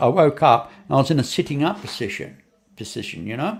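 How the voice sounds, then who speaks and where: A man speaks with an Australian accent at a moderate pace. His pitch swings very widely. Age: 70s. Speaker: podcast host. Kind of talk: casual interview chat. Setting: online stream studio. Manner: halting, many repetitions.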